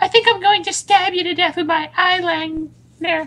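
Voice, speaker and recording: This woman's squeaky voice sits at an extremely high pitch. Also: moderate pace. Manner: strained.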